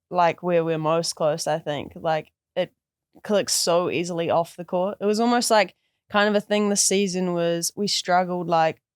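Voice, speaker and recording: A woman with a New Zealand accent speaks at a fairly low pitch. Her intonation stays fairly even at a moderate pace. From New Zealand, Christchurch. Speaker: college basketball player. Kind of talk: casual interview.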